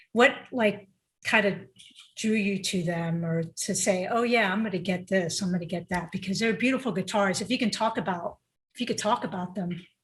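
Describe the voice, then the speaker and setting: A woman's somewhat breathy, medium-pitched voice with an American accent, ordinary pitch variation and a fairly quick pace. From US, Ecuadorian family. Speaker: podcast host. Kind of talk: podcast interview.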